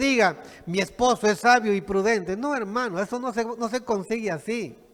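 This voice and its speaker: The voice belongs to a man. It is pitched extremely high. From Peru, Piura (Chulucanas). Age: 60s. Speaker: pastor. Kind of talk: sermon.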